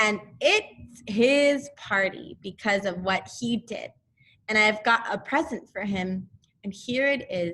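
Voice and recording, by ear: The background is quiet while someone is reading aloud in a natural voice.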